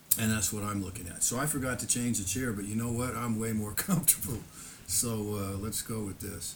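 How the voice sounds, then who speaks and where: A man with a fairly low pitch, in audible room echo. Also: ordinary pitch variation, fairly quick pace. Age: 70s. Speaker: YouTuber recounting personal history. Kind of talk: casual monologue. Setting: home, seated in lawn chair before camera. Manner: halting.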